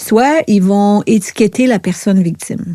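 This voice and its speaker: A dark, mellow tone carries very slow speech with ordinary pitch variation. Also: woman. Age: 60s. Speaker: author, speaker and therapist. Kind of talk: podcast interview, personal testimony. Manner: hesitant, many fillers.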